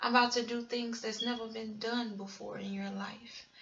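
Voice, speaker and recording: Noticeable background noise runs behind the speech. The speaker is a woman with a fairly high pitch. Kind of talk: sermon-style testimony. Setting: home recording at night.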